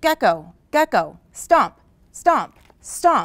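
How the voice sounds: A woman's put-on character voice, high with big pitch swings and a very slow pace, dry and close with no echo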